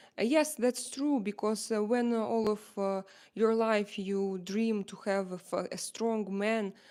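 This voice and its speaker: A woman with an Eastern European accent speaks at a fairly slow pace in a medium pitch, her intonation fairly even, on a very clean recording with a silent background. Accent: Slavic. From Slavic. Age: 40s. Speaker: live streamer. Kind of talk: casual livestream talk to viewers. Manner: hesitant, many fillers.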